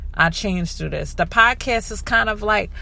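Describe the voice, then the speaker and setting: A woman's voice carries audible room echo. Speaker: podcast host. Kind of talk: casual podcast talk.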